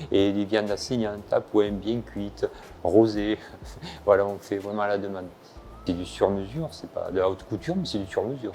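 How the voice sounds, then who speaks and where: With long, frequent pauses, a man at a fairly low pitch talks at a moderate pace and ordinary pitch variation. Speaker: chef. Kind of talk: guided kitchen tour.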